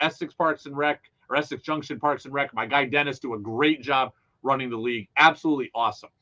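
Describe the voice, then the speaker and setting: A man speaks in an animated tone at a fairly quick pace. His pitch is fairly high. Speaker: radio sports talk host. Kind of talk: casual radio monologue. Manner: loud.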